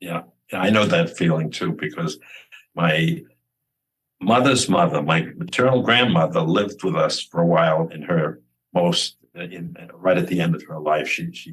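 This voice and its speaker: A man's very deep, low voice at a moderate pace, with ordinary pitch variation and big swings in loudness. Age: 80s+. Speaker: author, grieving father. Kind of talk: interview. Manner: halting, many repetitions.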